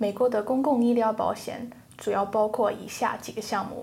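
Audible room echo carries a woman's fairly high, monotone voice, flat in intonation and fairly slow in pace. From England. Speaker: economics student. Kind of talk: classroom discussion. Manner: hesitant with fillers.

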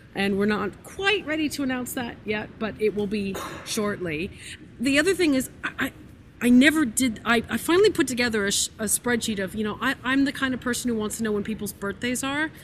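Over noticeable background noise, a woman with a fairly high voice speaks at a fairly quick pace with lively intonation. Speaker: podcast network staff member. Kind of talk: live Q&A session. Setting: stage with audience.

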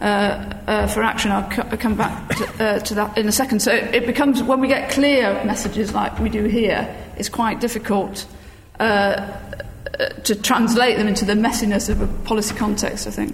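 A fairly high-pitched woman with a British accent, monotone and flat in intonation, at a moderate pace over noticeable background noise. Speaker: education professor, panel respondent. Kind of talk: academic response and discussion.

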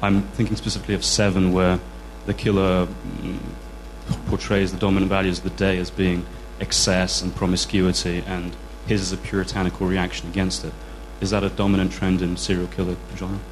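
A man talks at a fairly quick pace. There is noticeable noise behind him. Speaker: audience member asking question.

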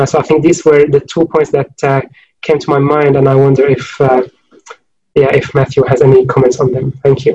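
A man speaks fairly quickly in a fairly high pitch, his somewhat breathy voice carrying a dark, mellow tone and a flat, monotone intonation. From Syria, Homs. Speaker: urban researcher. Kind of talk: academic panel discussion. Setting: online video call.

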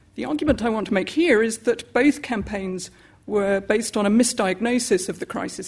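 Somewhat breathy and fairly high in pitch, a woman speaks at a fairly quick pace. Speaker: political economy scholar. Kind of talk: panel talk. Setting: lecture hall with audience.

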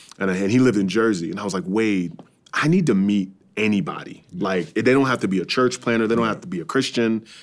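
An American accent colors this man's fairly low voice. He talks at a very fast pace with lively intonation. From New York suburbs. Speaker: pastor and church planter. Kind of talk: casual interview.

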